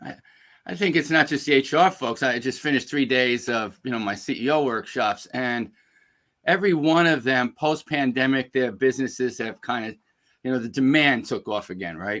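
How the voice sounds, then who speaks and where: A man's medium-pitched voice with a New York accent, at a moderate pace with ordinary pitch variation. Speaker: executive coach and speaker. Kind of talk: webinar interview.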